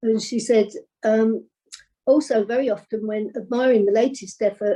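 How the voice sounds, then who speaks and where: Somewhat breathy and fairly high, a woman's voice carries a dark, mellow tone and fairly even intonation. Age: 70s. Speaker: local knitter. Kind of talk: interview.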